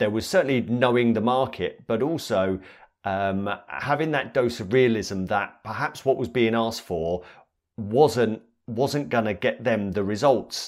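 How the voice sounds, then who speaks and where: A man with a plain, everyday voice of medium pitch speaks at a fairly slow pace with ordinary pitch variation, recorded very clean against a silent background. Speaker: podcast host. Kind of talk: interview conversation.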